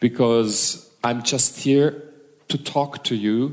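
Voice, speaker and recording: The voice has a German accent and ordinary pitch variation. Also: man. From Germany. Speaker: hypnosis and NLP trainer. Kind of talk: stage talk to seminar audience. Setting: stage with audience. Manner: halting.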